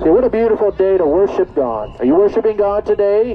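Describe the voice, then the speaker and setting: Light background noise behind a male speaker. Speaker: street preacher. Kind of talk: sermon. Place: street. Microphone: phone near.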